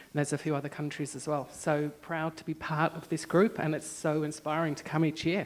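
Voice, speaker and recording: A woman with an Australian accent, very deep and low in pitch, at a moderate pace with fairly even intonation. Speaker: parent advocate. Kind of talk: self-introduction at conference.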